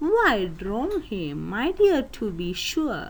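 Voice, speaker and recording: A woman uses a put-on character voice at a fairly high pitch, with very wide pitch swings. She speaks at a very slow pace over clear background noise. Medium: read story.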